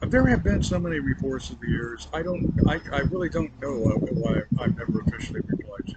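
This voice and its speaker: With hardly any pauses, a man talks at a fairly quick pace against noticeable background noise. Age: 60s. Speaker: roadside vlogger. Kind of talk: casual monologue to camera. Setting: outdoors by a roadside. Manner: halting, many fillers.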